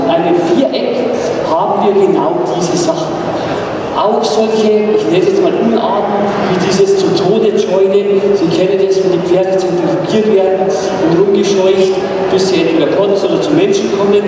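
Long pauses come often, and background noise is noticeable. The room adds a strong echo. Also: moderate pace. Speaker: horse trainer presenting. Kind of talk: live demonstration commentary. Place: hall.

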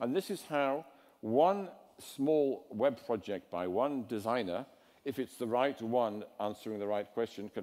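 This man has an English accent and a medium pitch, with a dark, mellow tone. He talks at a fairly slow pace with lively intonation. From England. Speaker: design theorist. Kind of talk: lecture. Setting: stage with audience.

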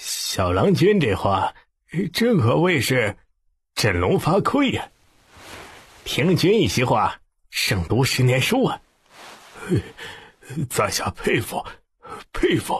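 Using a put-on character voice with a husky, rough edge, a man speaks slowly at medium pitch with very wide pitch swings and long, frequent pauses.

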